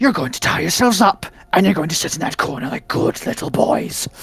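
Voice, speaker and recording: Using a put-on character voice, a man talks at a fairly quick pace with a high pitch. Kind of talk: stern, commanding. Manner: snarling, menacing.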